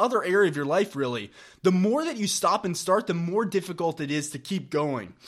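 On a very clean recording with a silent background, a man with a high pitch talks at a moderate pace and lively intonation. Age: 20s. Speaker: vegan fitness coach and podcast co-host. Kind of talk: casual chat.

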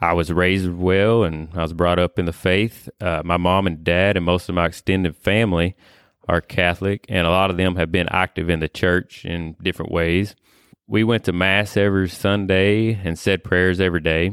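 In a very clean recording with a silent background, a man with a Kentucky accent speaks at a moderate pace in a very deep, low pitch, with monotone, flat intonation and very even loudness. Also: dry, close sound with no echo. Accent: Kentucky Southern US. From Kentucky, US. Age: 30s. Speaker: landscaper, podcast guest. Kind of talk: faith testimony interview.

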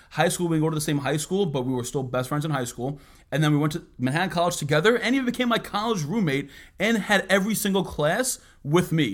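A man with a New York accent talks at a very fast pace in a fairly high pitch. The recording is very clean, with a silent background. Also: lively intonation. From US Northeast, Bronx, New York. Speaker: podcast co-host, entrepreneur. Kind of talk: casual chat. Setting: office.

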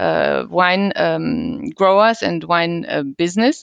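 The pace of this woman's speech is very slow. She uses lively intonation. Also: dry, close sound with no echo. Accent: German. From Germany, Cologne region. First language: German. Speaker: wine business consultant. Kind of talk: interview.

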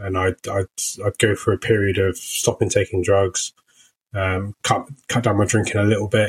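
A man's fairly low, somewhat breathy voice with a British accent and monotone, flat intonation, dry and close with no echo, on a very clean recording with a silent background. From UK, working-class family. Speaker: recovering addict sharing story. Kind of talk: interview testimony. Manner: hesitant, many fillers.

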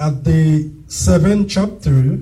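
Speaking at a very slow pace, a man talks with a strong non-native accent. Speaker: preacher. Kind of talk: sermon. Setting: church.

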